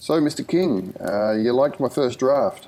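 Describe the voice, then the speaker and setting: A put-on, croaky character voice from a man, medium in pitch, with lively intonation at a moderate pace. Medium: read story.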